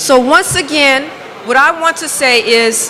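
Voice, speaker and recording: A woman at a very slow pace, with audible room echo and noticeable background noise. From United States. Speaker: hair expert and speaker. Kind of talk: motivational conference talk. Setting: stage with audience, interpreted. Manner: halting in French.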